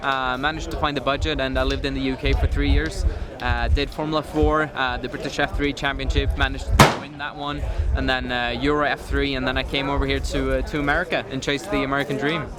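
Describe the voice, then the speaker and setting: With a Swedish accent, the speaker talks at a very fast pace over noticeable background noise. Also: man. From Sweden, Stockholm. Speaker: race car driver. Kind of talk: interview.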